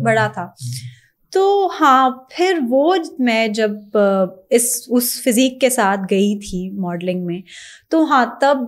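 A woman with an Urdu accent, her pitch swinging very widely, against a quiet background. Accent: Urdu-style accent even in Punjabi. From Pakistan, Punjabi family. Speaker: TV co-host and actress; TV co-host, actress. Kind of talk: casual interview. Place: studio. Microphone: studio mic.

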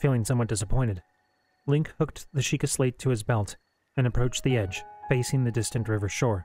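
Plain reading aloud with ordinary pitch variation plays over a quiet background.

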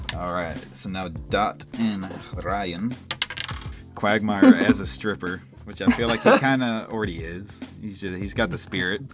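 Over music in the background, a man with a fairly low pitch and ordinary pitch variation speaks at a fairly slow pace, his loudness swinging widely. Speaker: host of an art drawing show. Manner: casual, joking.

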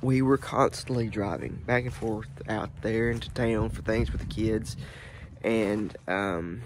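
Over noticeable background noise, a man speaks at a fairly slow pace with ordinary pitch variation in a dry sound with no echo. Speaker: vlogger. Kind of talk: casual vlog chat. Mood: relaxed, reflective storytelling. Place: open country. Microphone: phone near.

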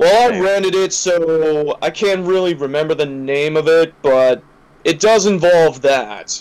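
At a fairly slow pace, a man with an American accent speaks at a fairly high pitch with ordinary pitch variation. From US East Coast. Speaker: gaming podcast co-host. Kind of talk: casual chat. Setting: online voice call. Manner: animated.

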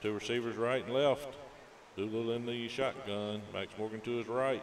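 Over noticeable background noise, a man speaks at a fairly slow pace. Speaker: radio sports play-by-play announcer. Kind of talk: radio sports commentary, play-by-play. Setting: stadium broadcast booth, live radio. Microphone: headset.

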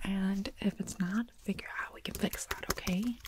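A soft-spoken, somewhat breathy woman with a dark, mellow tone and fairly even intonation, in a dry sound with no echo and light background noise. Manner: soft, hushed ASMR close-mic voice.

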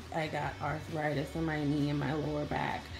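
A woman talks at a fairly slow pace in a very deep, low pitch. Clear music plays in the background. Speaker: beauty vlogger. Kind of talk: casual vlog chat. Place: home room. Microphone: phone near.

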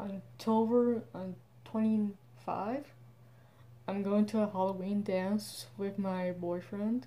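Very slowly and with long, frequent pauses, a woman speaks at a medium pitch in a dark, mellow, somewhat breathy tone. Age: 20s. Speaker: vlogger. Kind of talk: casual vlog monologue. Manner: halting. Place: home room. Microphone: phone near.

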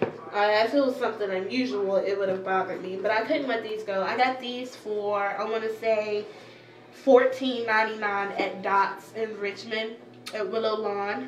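At a fairly high pitch, a woman talks at a moderate pace with fairly even intonation. Light background noise and audible room echo are present. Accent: American. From US South. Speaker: beauty and fashion vlogger; fashion vlogger. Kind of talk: casual haul video. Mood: cheerful, relaxed. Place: home room. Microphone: phone camera mic; phone near.

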